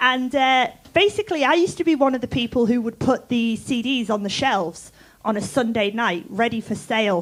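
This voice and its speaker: A woman with an English accent speaks at a fairly quick pace. Her pitch is fairly high, with ordinary variation. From England. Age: 40s. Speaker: music tech entrepreneur. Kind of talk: conference talk. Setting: stage with audience.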